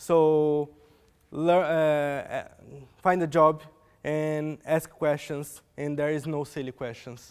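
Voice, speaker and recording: A man with a Portuguese accent speaks at a very slow pace in a monotone, flat intonation, on a very clean recording with a silent background. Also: fairly high pitch for a man. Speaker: software developer. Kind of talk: conference talk. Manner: halting.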